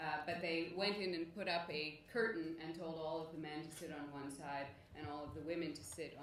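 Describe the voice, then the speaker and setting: With audible room echo, a woman in an American accent speaks at a very deep, low pitch, fairly even in intonation and with hardly any pauses. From United States, France and Algeria. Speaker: academic speaker. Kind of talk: conference presentation. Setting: conference with audience.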